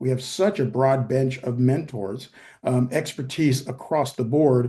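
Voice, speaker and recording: At a fairly slow pace, a man talks in a somewhat breathy, dark, mellow voice of medium pitch with fairly even intonation. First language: Spanish. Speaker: professor and venture investor. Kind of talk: virtual meeting remarks.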